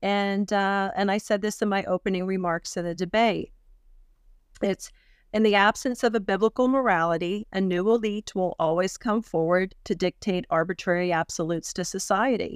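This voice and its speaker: Speaking in an unremarkable speaking voice with an American accent, a woman keeps a medium pitch, fairly even intonation and a moderate pace. The very clean recording has a silent background and a dry, close sound with no echo. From Pennsylvania, US. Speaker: political candidate. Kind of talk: interview.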